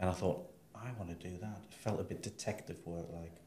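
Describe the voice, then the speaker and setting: Speaking in a northeast English accent, a man has a very deep, low pitch. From northeast England, Sunderland. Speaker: library director. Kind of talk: interview.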